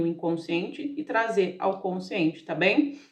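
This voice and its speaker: A woman at a medium pitch speaks at a moderate pace, with audible room echo. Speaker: tarot reader. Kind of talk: tarot reading monologue. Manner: animated.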